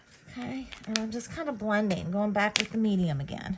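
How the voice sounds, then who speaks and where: With a Southern US accent, a woman talks at a fairly quick pace with lively intonation over noticeable background noise. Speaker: card-making crafter. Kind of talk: craft tutorial talk to camera. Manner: casual, chatty.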